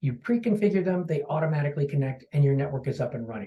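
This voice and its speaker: Somewhat breathy and very fast, a man talks in a dark, mellow tone with lively intonation. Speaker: marketing executive. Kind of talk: product presentation.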